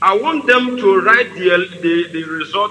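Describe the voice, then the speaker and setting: A man with a Nigerian accent talks over noticeable background noise. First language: Igbo. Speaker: radio broadcaster. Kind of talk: political broadcast. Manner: halting; forceful.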